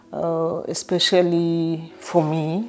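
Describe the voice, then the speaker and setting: This woman speaks with a Kenyan accent. Her pitch is fairly low. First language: not English (Kenyan language). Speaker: vlogger. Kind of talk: personal storytelling. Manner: hesitant, many fillers.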